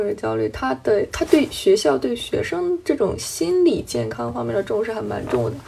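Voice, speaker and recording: There is noticeable background noise behind the voice. A woman speaks at a moderate pace. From China. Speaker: podcast co-host. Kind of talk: casual chat.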